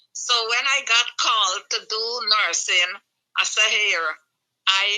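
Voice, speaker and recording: A plain, everyday voice. It moves at a fairly slow pace with ordinary pitch variation. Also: woman. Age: 60s. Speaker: retired nurse and nurse educator. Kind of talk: interview. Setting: radio studio.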